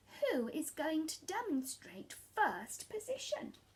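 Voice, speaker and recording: In a put-on character voice, the speaker uses a stern tone, a raised, projected delivery, a fairly slow pace, and very wide pitch swings. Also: woman, extremely high pitch for a woman. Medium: read story. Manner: prim, stern.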